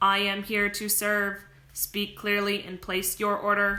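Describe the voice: In a put-on, robotic character voice, a woman talks at a fairly slow pace and a medium pitch, her intonation monotone and flat.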